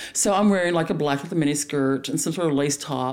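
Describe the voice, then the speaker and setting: Noticeable noise sits in the background. Over it, a woman speaks fairly quickly. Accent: Texan. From Dallas, Texas. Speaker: stand-up comedian.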